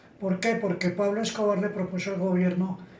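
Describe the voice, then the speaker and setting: Audible room echo surrounds a man's high-pitched voice. His intonation is monotone and flat. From Colombia, Bogotá. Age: 70s. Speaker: interviewee, older citizen. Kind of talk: interview testimony.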